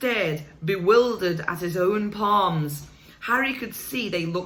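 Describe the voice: Just plain reading aloud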